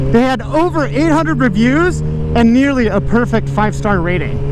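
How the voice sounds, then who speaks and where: A man in audible room echo, with noticeable background noise. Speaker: motovlogger. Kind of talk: casual vlog narration while riding. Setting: riding a motorcycle. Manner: loud.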